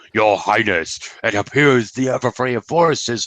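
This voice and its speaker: A gravelly, put-on character voice at a moderate pace. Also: man, medium pitch for a man. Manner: formal, reporting to a ruler.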